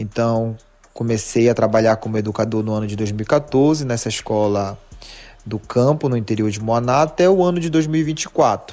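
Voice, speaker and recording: Music plays behind a man speaking at a fairly quick pace. His pitch sits in the medium range. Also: ordinary pitch variation. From Brazil, Pará, Marajó (Muaná). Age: 20s. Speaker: teacher and history researcher. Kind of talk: podcast interview.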